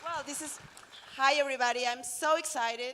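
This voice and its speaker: A woman speaks in a raised, projected voice at a high pitch. Her pitch varies in an ordinary way. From Mexico. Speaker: biologist. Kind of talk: short speech.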